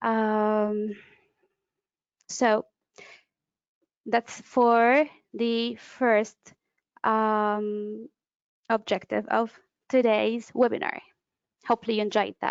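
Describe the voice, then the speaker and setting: Speaking with an Arabic accent, a woman uses a fairly high, monotone, flat voice at a very slow pace with long, frequent pauses. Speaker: conference interpreter and trainer. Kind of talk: webinar lecture. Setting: online webinar. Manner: hesitant, with fillers.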